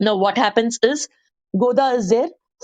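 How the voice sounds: A natural reading voice with ordinary pitch variation, set against a quiet background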